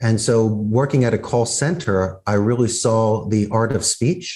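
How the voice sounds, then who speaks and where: Against a quiet background, a man with a Philadelphia accent speaks at medium pitch in a dark, mellow tone with fairly even intonation. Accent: Philadelphia American. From US Northeast, Philadelphia. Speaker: business owner. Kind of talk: interview. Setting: video call.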